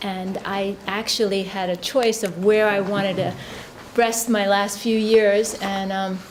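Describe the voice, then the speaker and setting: A woman speaks at a fairly slow pace and medium pitch, her intonation flat and monotone, with audible room echo and noticeable background noise. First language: not English. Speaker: finance executive. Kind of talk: panel discussion.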